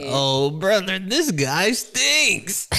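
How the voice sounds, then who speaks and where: In a cartoonish character voice, a man talks at a high pitch with very wide pitch swings. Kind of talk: put-on cartoon voice. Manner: grumpy, heckling.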